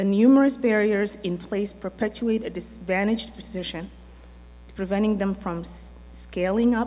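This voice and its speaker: A woman with an unremarkable speaking voice and a medium pitch talks at a moderate pace with fairly even intonation. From immigrant to the US. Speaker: business owner and developer. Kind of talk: prepared speech.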